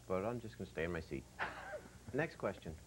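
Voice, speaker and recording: Vocal fry colors this man's speech. His pitch is very deep and low. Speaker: TV host. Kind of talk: TV show hosting.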